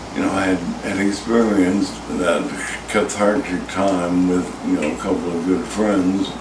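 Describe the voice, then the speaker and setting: Over noticeable background noise and audible room echo, a man talks at a moderate pace with a fairly low pitch and fairly even intonation. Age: 60s. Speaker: plane crash survivor. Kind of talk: interview testimony. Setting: outdoors on a house porch.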